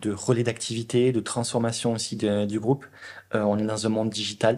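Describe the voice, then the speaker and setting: A man with a Toulouse accent speaks at medium pitch and a moderate pace. His intonation is flat and monotone, on a very clean recording with a silent background. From southern France, Toulouse. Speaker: product leader at a large company. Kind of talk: interview. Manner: hesitant, many fillers.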